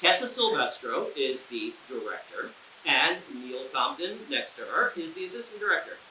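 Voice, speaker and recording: Moderate-paced speech from a man, with noticeable background noise and audible room echo. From New York. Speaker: podcast host. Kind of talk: interview. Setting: in a theater. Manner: halting, filler words.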